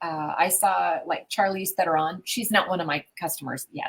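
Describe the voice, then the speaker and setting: At a moderate pace, a woman speaks with a medium pitch and a somewhat breathy voice. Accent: American. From US Midwest. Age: 60s. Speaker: business owner and mystery game writer. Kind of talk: interview conversation.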